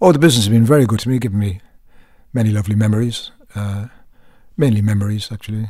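A man in a Cork accent, fairly low-pitched with a dark, mellow tone, very fast yet with long, frequent pauses and ordinary pitch variation. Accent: Cork Irish. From Ireland, Cork. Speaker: actor. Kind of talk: interview. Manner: halting.

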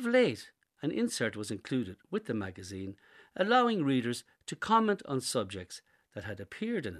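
Someone speaks with an Irish accent at a fairly quick pace, with big swings in loudness. The background is quiet. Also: man. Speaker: essay contributor. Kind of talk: reading aloud.

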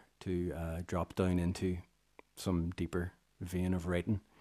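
A dark, mellow tone in a Northern Irish accent, on a very clean recording with a silent background. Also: man. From Northern Ireland, Armagh. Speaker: musician and composer. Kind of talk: radio interview. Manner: halting, many fillers.

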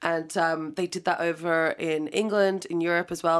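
Here a woman speaks at a fairly low pitch. Her pace is moderate. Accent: Irish. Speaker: DJ and radio presenter. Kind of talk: casual interview.

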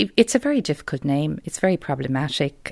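A woman with a Dublin accent talks at a moderate pace. The sound is dry and close, with no echo. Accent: South Dublin Irish. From South Dublin, Ireland. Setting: home interview.

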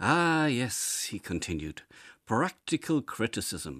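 Very wide pitch swings carry an Irish accent in a dry, close sound with no echo on a very clean recording with a silent background. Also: man. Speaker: essayist. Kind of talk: reading aloud.

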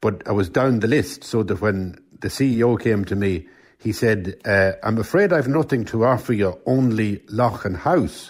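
In a Cavan accent, a man at medium pitch speaks with ordinary pitch variation on a very clean recording with a silent background. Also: moderate pace. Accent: Irish, Cavan. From Ireland, County Cavan. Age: 60s. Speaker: writer. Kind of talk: casual chat.

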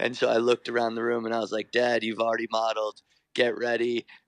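A man with a New York accent, medium in pitch, in a dry, close recording with no echo. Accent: New York American. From New York, US (Irish parents). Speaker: fashion designer. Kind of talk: radio interview. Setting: remote line from New York.

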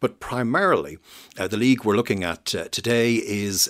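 Recorded very cleanly against a silent background, a man with an Irish accent speaks at a moderate pace with ordinary pitch variation. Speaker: historian. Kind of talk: radio interview.

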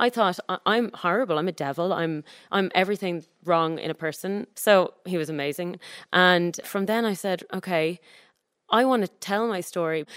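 In an Irish accent, a woman speaks at a medium pitch with ordinary pitch variation, the sound dry and close with no echo on a very clean recording with a silent background. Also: moderate pace. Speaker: activist. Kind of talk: casual chat. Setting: studio with audience.

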